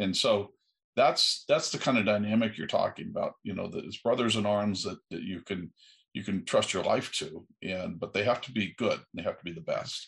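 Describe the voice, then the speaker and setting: The background is quiet as a man talks. He has an American accent and keeps a moderate pace. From USA. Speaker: aerospace entrepreneur. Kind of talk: interview.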